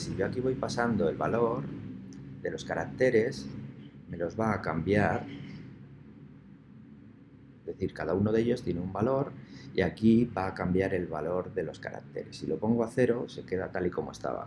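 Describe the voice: A man speaks at a moderate pace with a low pitch. His tone is slightly mellow, with ordinary pitch variation.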